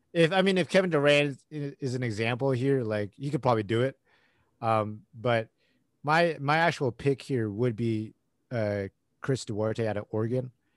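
A man with an American accent has a normal speaking voice at a medium pitch and a moderate pace. His pitch varies in an ordinary way against a quiet background. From US West Coast. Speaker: podcast host and sports fan. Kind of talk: casual chat.

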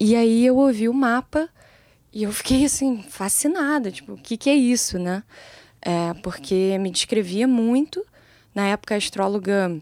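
A woman with a fairly high pitch and a dark, mellow tone talks at a fairly slow pace with lively intonation, in a dry, close sound with no echo on a very clean recording with a silent background. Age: 20s. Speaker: music producer, songwriter and singer. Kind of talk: casual interview.

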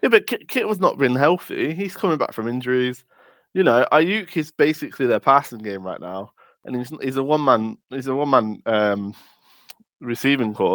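Lively intonation marks a man speaking with an English accent. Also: moderate pace. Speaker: podcast host. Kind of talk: casual chat.

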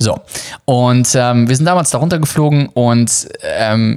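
Here a man talks at a medium pitch. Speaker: travel podcast host and online course seller. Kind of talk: promotional monologue. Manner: many filler hesitations.

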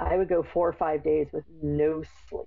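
This woman has a plain, everyday voice. Her pitch is fairly low, with fairly even intonation. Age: 40s. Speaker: mental health interviewee, homeschooling mother. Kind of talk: personal testimony in interview.

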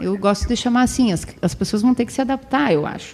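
A woman speaks in a normal speaking voice. Her pitch is fairly high with ordinary variation. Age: 40s. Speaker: PE teacher and scout leader. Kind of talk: casual interview. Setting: studio.

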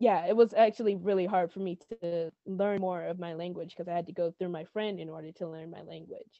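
A woman's medium-pitched voice at a moderate pace, monotone with flat intonation. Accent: American. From US Appalachia / Carolinas. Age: 20s. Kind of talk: casual interview chat. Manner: hesitant, filler-heavy.

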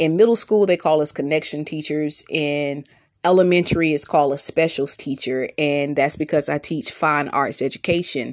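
With a Southern US accent, a woman speaks in a very deep, low pitch and an animated tone, using ordinary pitch variation at a moderate pace over a quiet background. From US South. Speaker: podcast host, teacher and mother. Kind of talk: solo podcast monologue.

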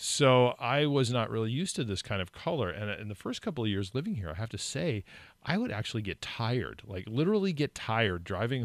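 In a very clean recording with a silent background, a man with an American accent and a normal speaking voice talks at a fairly quick pace in a medium pitch with lively intonation. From California. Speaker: radio host. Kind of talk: casual chat. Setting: studio.

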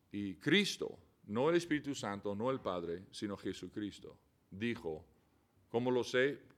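In an English accent, the speaker goes at a fairly slow pace with lively intonation. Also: man. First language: English (speaking Spanish). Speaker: missionary. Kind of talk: casual chat. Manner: halting.

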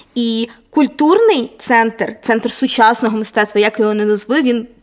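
Speaking at a fairly slow pace, a woman with an unremarkable speaking voice keeps a fairly high pitch and ordinary pitch variation. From Vinnytsia, Ukraine. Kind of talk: casual chat. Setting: large hall, basement.

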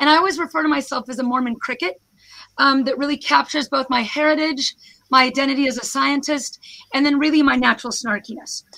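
With an American accent, a raised, projected voice with a bright, sharp tone rushes at a very fast pace with ordinary pitch variation. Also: woman, high pitch for a woman. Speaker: professor. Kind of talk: presentation to online audience. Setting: video call.

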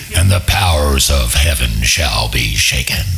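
A man puts on a character voice with a very deep, low pitch. He talks at a moderate pace over clear background noise. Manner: creepy, ominous.

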